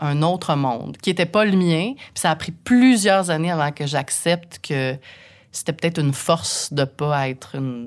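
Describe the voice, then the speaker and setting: A woman's normal speaking voice at a fairly low pitch, lively intonation and a fairly slow pace, on a very clean recording with a silent background. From Quebec, Saint-Eustache. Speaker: radio host. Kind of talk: casual interview.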